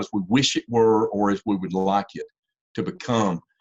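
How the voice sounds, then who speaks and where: A man with a Southern US accent talks at a moderate pace in a fairly low voice, recorded dry and close with no echo. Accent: Southern US (Georgia). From US South, Georgia. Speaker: university engineering professor and policy fellow. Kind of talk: lecture. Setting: video call webinar. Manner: halting, many repetitions.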